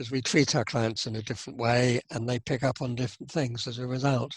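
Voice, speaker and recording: Speaking at a fairly quick pace, a man with a medium pitch sounds somewhat breathy, and the sound is dry and close with no echo. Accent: British. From UK. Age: 70s. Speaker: psychotherapist. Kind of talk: interview. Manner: halting, with repetitions and fillers.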